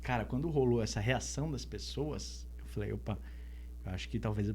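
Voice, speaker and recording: Audible room echo surrounds this man, who speaks at a fairly quick pace. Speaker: singer-songwriter. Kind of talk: podcast interview.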